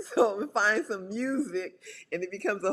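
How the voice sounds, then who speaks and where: This is a woman speaking at a medium pitch. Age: 60s. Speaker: publicist and pole dancer. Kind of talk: casual chat. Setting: podcast interview.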